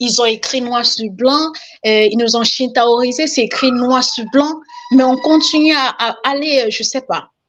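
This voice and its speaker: Here a woman speaks at a fairly slow pace. Her high voice shows ordinary pitch variation. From Cameroon. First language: Cameroonian language, now lost (speaking French). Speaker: caller. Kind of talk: testimony.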